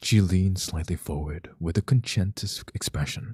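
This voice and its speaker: A man speaks with a calm tone and lively intonation at a moderate pace. His fairly low voice is dark, mellow and somewhat breathy. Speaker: ASMR reader. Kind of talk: reading aloud.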